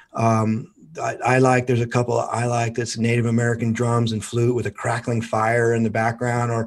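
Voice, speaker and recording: This man has an unremarkable speaking voice with a medium pitch. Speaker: hypnotherapist. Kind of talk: guided hypnosis induction.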